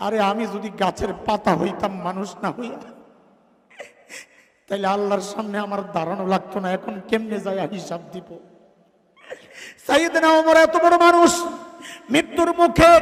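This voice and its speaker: A man's high voice with very wide pitch swings and big swings in loudness. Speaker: Islamic preacher giving a waz sermon. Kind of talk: passionate Bangla religious sermon (waz). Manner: emphatic, fiery, oratorical with rhetorical questions.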